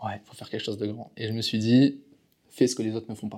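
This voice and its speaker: This voice has a dark, mellow tone and a monotone, flat intonation, moving at a very fast pace. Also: man. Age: 20s. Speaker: entrepreneur coach and speaker. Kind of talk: interview.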